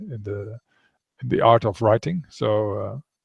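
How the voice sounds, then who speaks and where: In a Dutch accent, a man speaks at a fairly slow pace with a dark, mellow, somewhat breathy tone, the sound dry and close with no echo and the background quiet. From Netherlands. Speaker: author. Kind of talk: interview. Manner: halting.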